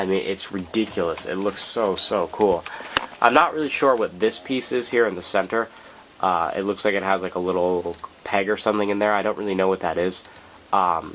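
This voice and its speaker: This man's voice sits fairly low, and he speaks at a fairly quick pace. Noticeable background noise runs behind him. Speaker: model car reviewer. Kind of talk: casual talk to camera. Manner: casual, hesitant with fillers.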